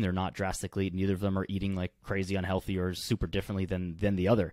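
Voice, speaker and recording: A man speaks with a fairly low pitch. The sound is dry with no echo, and the background is quiet. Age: 20s. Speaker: kinesiologist and fitness coach; fitness coach. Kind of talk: casual chat. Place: home room. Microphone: studio mic.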